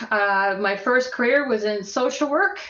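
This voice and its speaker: A woman with a Canadian accent speaks at a moderate pace with a fairly high pitch. Noticeable background noise runs underneath. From Edmonton, Alberta, Canada. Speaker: workplace harassment expert and social worker. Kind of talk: casual interview chat.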